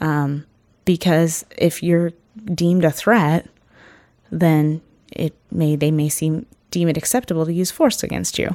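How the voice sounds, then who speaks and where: With a Northern California accent, a woman speaks fairly slowly in a fairly low voice, keeping her intonation fairly even and leaving long, frequent pauses. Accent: Northern California American. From Ukiah, California (adopted from Brazil as a baby). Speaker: singer and teacher. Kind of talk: interview. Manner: hesitant, many fillers.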